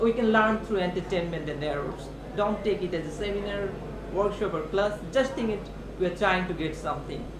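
Over noticeable background noise, a man talks at a moderate pace in a high voice with ordinary pitch variation. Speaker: English lecturer. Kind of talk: workshop instruction. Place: meeting room. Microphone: camera far.

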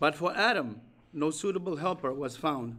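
At a moderate pace, a man is talking. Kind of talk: sermon. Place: hall.

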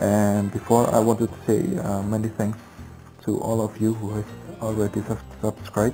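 Clear music plays in the background. A man speaks over it at a fairly low pitch. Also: ordinary pitch variation, moderate pace. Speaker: game tutorial creator. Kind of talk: game tutorial talk. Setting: headset microphone. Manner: hesitant, many filler sounds. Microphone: headset.

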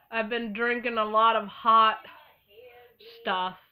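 A woman speaks at a medium pitch. Her voice is whiny, with a whiny tone. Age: 30s. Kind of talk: casual talk to camera.

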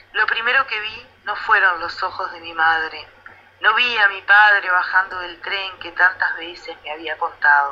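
In a Rioplatense accent, a woman talks at a fairly slow pace with medium pitch and ordinary pitch variation, over noticeable background noise. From Uruguay. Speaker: poet. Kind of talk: poet reading her own verse aloud. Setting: radio interview, remote. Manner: measured, slow, contemplative, lyrical.

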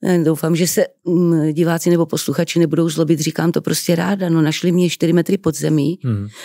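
A woman talks at a fairly quick pace in a fairly low, dark, mellow voice with vocal fry. Her loudness stays very even, and the sound is dry with no echo against a quiet background. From Czech Republic, Moravia (Třebíč); Moravia, Czech Republic. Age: 60s. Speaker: actress. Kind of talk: interview. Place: studio. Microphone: studio mic.

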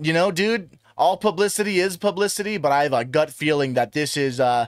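Over a quiet background, a man talks at a fairly quick pace with lively intonation, and the sound is dry with no echo. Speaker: YouTube commentator. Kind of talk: commentary. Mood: critical, earnest. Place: home room. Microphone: studio mic.

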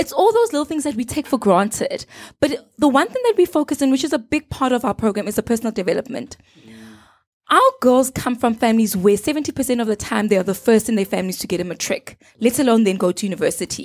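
The speaker talks very fast with lively intonation. The background is quiet. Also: woman, high pitch for a woman. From South Africa, Gauteng. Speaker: social entrepreneur; guest. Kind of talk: casual chat. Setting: studio. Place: studio. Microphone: handheld.

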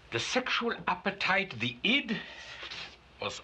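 A pompous tone comes through at a fairly slow pace, with noticeable background noise behind it. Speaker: psychologist character narrating. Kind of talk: pseudo-clinical film narration, 1970s style, a doctor lecturing the audience. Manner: formal, measured, authoritative and pompous, with a dry, tongue-in-cheek clinical tone.

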